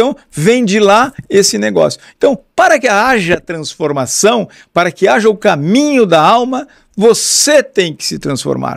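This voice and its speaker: Animated in tone, a man speaks fairly slowly at a high pitch with very wide pitch swings, on a very clean recording with a silent background. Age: 60s. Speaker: podcast host. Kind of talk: casual lecture.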